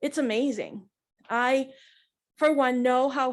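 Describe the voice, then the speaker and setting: Loud speech at a fairly slow pace. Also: woman. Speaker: bereaved mother. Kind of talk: press conference statement. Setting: press conference.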